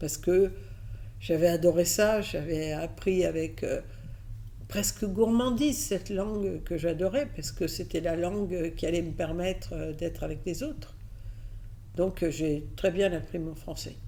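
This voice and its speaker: A woman speaks with long, frequent pauses. The room echo is audible. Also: fairly slow pace. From Catalonia, then raised in France from age 6. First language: Catalan (speaking French). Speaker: advertising executive. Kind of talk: interview. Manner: hesitant fillers.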